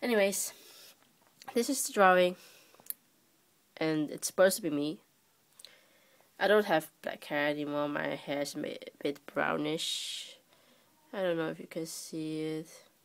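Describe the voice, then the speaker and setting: Speaking at a fairly slow pace with long, frequent pauses, a woman with a non-native accent uses a fairly low pitch and lively intonation. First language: not English. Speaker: amateur artist. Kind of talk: casual talk to camera. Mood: shy, playful. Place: home room. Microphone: phone near.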